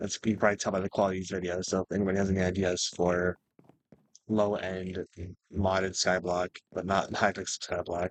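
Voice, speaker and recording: The speech comes at a very fast pace with a dry, close sound and no echo. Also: man. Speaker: gaming youtuber. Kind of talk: gameplay commentary.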